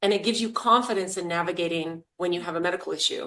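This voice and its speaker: With an American accent, a woman talks at a fairly quick pace with ordinary pitch variation. She has a normal speaking voice. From US, rural Idaho. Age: 60s. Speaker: master herbalist. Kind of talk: interview.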